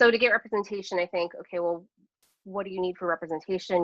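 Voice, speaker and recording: A woman at a medium pitch talking at a very fast pace. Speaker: comedian and educator. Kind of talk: webinar presentation. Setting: online webinar.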